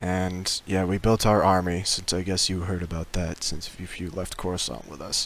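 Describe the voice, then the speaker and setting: This man uses a put-on character voice, raspy and very deep in pitch. He keeps a moderate pace with hardly any pauses. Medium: machinima. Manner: casual, hesitant, filler-heavy.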